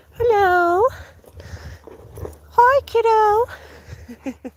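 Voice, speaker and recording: A put-on character voice squeaks at an extremely high pitch. The tone is playful. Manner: goofy, playful.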